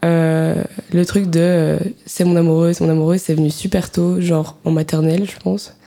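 At a moderate pace, a woman talks with a fairly low pitch and a dark, mellow tone. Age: 20s. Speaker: student podcast co-host. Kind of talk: casual chat.

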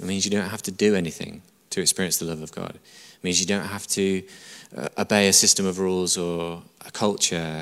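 Fairly quick and monotone, a man speaks with a northern English accent at a very deep, low pitch. The recording is very clean, with a silent background. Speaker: church pastor preaching a sermon. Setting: church service, live audience. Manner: emphatic, repetitive, conversational preaching.

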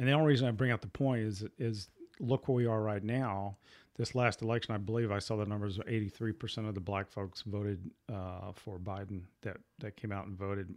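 A man with a plain, everyday voice talks at a fairly quick pace with fairly even intonation. His pitch is fairly low, and the recording is very clean with a silent background. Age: 60s. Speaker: podcast host. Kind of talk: casual chat.

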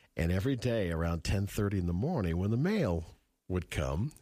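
On a very clean recording with a silent background, a man speaks at a moderate pace in a very deep, low pitch that swings very widely. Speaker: radio host. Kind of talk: casual chat. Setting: studio.

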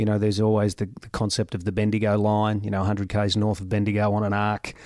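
Fairly low male voice with an Australian accent at a very fast pace, dry and close with no echo, on a very clean recording with a silent background. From Australia, Goulburn Valley region of Victoria. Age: 50s. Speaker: mayor. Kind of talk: interview.

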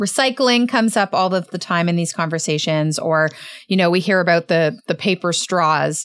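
Recorded very cleanly against a silent background, with a dry, close sound and no echo, a woman with a Canadian accent and a plain, everyday voice talks at a medium pitch and a fairly quick pace. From Canada. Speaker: podcast host. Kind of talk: interview.

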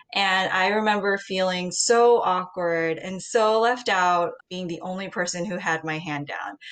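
In a normal speaking voice, a woman with an American accent talks at a fairly slow pace with hardly any pauses. Her pitch is medium, with ordinary variation. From US Midwest (Ohio), born in Seoul. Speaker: MBA student, former journalist. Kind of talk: casual chat.

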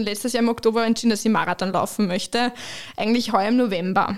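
A woman talks with fairly even intonation. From Austria, Lower Austria (Waldviertel). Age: 30s. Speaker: company managing director. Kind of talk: interview testimony.

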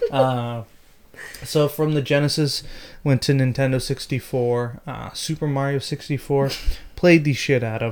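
A plain, everyday voice: a man at a fairly high pitch, fairly slow pace and fairly even intonation. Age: 30s. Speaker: podcast host. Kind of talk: casual chat.

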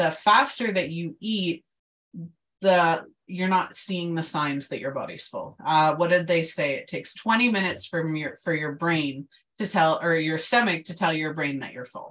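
A woman with an ordinary speaking voice delivers her words fairly slowly, her fairly low pitch showing ordinary pitch variation. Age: 30s. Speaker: identity coach and podcast host. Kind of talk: casual chat.

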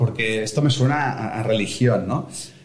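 Amid noticeable background noise and audible room echo, a man speaks in an animated tone at a moderate pace with ordinary pitch variation. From Barcelona, Spain. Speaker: author and speaker. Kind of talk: interview.

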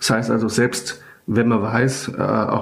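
Noticeable background noise sits behind a man's voice. He speaks at a fairly slow pace with fairly even intonation. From Germany, near Frankfurt. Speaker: rabbi. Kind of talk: interview. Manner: hesitant, many fillers.

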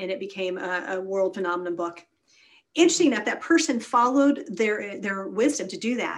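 An ordinary speaking voice from a woman at medium pitch, fairly quick in pace, with lively intonation. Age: 50s. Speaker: wellness doctor and speaker. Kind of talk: casual interview.

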